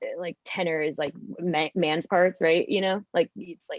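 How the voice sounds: The sound is dry and close, with no echo. A woman speaks at a moderate pace with a fairly low pitch and fairly even intonation.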